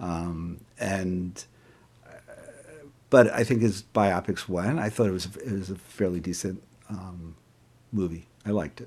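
A man speaks with a very deep, low pitch at a fairly slow pace. His intonation stays fairly even. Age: 60s. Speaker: author and clinical psychologist. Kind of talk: casual interview. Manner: halting, many fillers.

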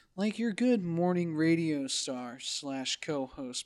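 A man's put-on character voice, high for a man, at a fairly slow pace. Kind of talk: radio host.

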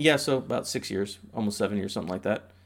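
A man's plain, everyday voice with an American accent, fairly quick in pace with ordinary pitch variation, on a very clean recording with a silent background. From Indiana (Indianapolis). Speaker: postal worker. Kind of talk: casual chat.

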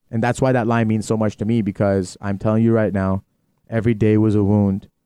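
A man's fairly low, dark, mellow voice in a Canadian accent, very fast and monotone, with flat intonation, dry, close sound with no echo and a quiet background. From Greater Toronto Area, Ontario, Canada. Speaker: youth program leader. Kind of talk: casual chat. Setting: employee kitchen.

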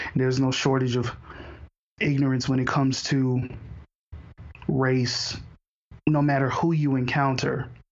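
Speaking at a fairly slow pace with long, frequent pauses, a man with an American accent and a medium pitch keeps a monotone, flat intonation amid audible room echo. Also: very even loudness. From Houston, Texas. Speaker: podcast host. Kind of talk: casual interview conversation.

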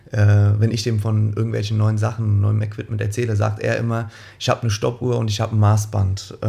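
A man speaks fairly quickly in a fairly low, dark, mellow voice. His delivery is somewhat breathy and monotone, with flat intonation. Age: 20s. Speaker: sprint coach. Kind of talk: interview.

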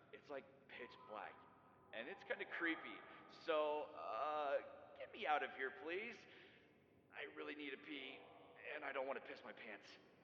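Putting on a whiny character voice with a fairly high pitch, a man speaks at a moderate pace with long, frequent pauses over clear background noise. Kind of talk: comedy skit voicemail. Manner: slangy, whiny, increasingly desperate.

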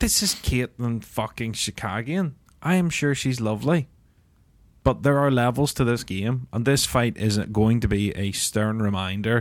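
With a Northern Irish accent, a man speaks at medium pitch and a moderate pace. His pitch varies in an ordinary way, and the recording is very clean with a silent background. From Northern Ireland. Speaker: MMA podcast host. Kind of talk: casual banter.

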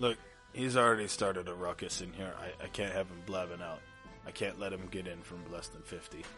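In a put-on character voice with very deep, low pitch, a raspy man talks at a fairly quick pace with ordinary pitch variation and big swings in loudness, clear music playing in the background. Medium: actual play. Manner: gruff, sardonic.

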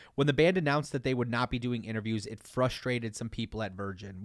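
A man with an American accent has an unremarkable speaking voice at medium pitch and fairly even intonation. The recording is very clean and dry, close with no echo and a silent background. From Detroit, Michigan. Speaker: podcast host. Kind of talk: scripted narration; casual chat.

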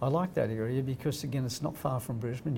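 Speaking very fast, a man at medium pitch has a dark, mellow, somewhat breathy tone. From Australia (Crookwell, rural New South Wales). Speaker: real estate company founder. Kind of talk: casual interview.

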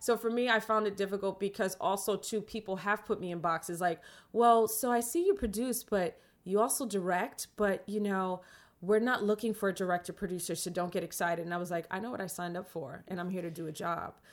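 Speaking in a New York accent, a woman talks at a fairly quick pace with a medium pitch and ordinary pitch variation. The recording is very clean, with a silent background. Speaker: film director and producer. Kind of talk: casual interview. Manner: talkative.

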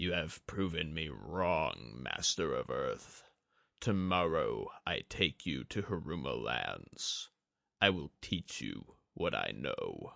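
A put-on character voice moves at a very slow pace against a quiet background. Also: man, very deep, low pitch for a man. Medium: read story. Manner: cold, calculating.

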